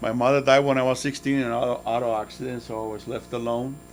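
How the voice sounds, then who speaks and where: A man talks at a very fast pace. His delivery is monotone and flat, with music playing in the background. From Nicaragua. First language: Spanish. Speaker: motivational guest speaker. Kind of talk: motivational talk to students.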